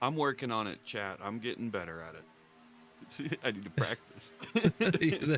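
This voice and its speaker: Over background music, a man speaks very slowly at a medium pitch with hardly any pauses. His pitch swings very widely and his loudness shifts a lot. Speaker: sim racing co-commentator. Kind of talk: live commentary. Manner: casual, conversational.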